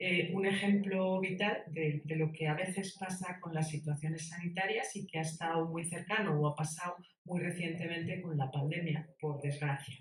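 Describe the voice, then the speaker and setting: Talking at a moderate pace with hardly any pauses, a woman keeps a fairly low pitch and fairly even intonation. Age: 60s. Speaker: human rights activist. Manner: halting.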